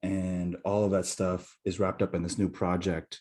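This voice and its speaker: Dark and mellow in tone, this man's voice sits fairly low in pitch. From US, Korean American. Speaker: novelist. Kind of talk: casual chat. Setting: video call. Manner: fast, many fillers.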